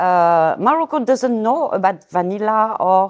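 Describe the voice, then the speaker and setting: Over a quiet background, a woman with a French accent speaks at a fairly slow pace in a medium pitch with lively intonation. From France. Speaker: vanilla seller. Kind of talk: interview. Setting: outdoors.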